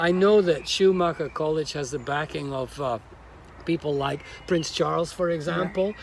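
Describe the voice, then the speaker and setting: Amid noticeable background noise, a man talks at a moderate pace and a fairly high pitch. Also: ordinary pitch variation. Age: 60s. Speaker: interviewer host. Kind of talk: interview. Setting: on location at a college in Devon countryside.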